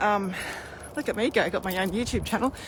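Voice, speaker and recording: A woman speaks very fast with an Australian accent. Her pitch is medium with ordinary variation. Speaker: spiritual healer. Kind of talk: casual live stream chat. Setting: live video stream. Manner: animated; loud.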